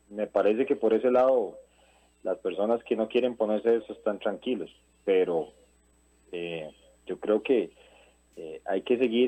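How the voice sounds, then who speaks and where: This man talks at a moderate pace in a medium pitch with ordinary pitch variation. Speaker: caller. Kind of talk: phone-in call. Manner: halting.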